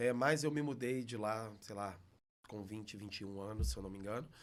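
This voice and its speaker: With a mineiro accent, a man speaks at a medium pitch. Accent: mineiro (Belo Horizonte). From Minas Gerais, Belo Horizonte. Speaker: teacher. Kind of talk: casual interview.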